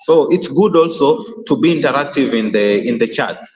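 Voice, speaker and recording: A man with a Kenyan accent at a fairly slow pace. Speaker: YouTuber hosting a live stream. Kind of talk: live stream chat talk. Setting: live stream. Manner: halting, many fillers and repeats.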